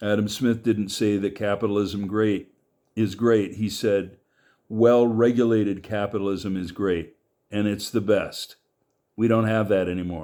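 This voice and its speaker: A man's fairly low, dark, mellow voice with an American accent, monotone and flat in intonation, at a fairly slow pace. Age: 70s. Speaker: political commentator. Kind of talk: monologue. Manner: halting.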